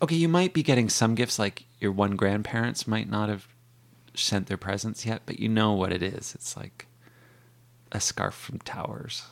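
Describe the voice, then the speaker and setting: A man of medium pitch talks at a moderate pace in a plain, everyday voice. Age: 40s. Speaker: bookstore worker and author. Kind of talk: casual chat.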